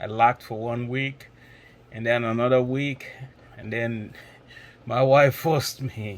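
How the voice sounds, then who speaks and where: With long, frequent pauses, a man at medium pitch talks at a fairly slow pace in a monotone, flat intonation. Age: 60s. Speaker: nursing exam candidate. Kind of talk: testimony. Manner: halting.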